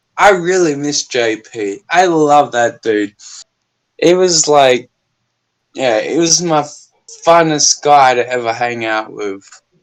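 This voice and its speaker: Talking at a very slow pace, a man speaks with an Australian accent. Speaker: YouTuber. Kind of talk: casual chat. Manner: animated.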